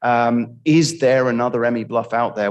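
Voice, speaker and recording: A man talks at a medium pitch and a moderate pace. His tone is enthusiastic. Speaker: mining company executive presenting. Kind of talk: conference presentation.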